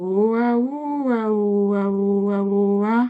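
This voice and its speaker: A woman speaks in a put-on character voice at a medium pitch. Her pace is fairly slow. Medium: read story. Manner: cheerful, bouncy.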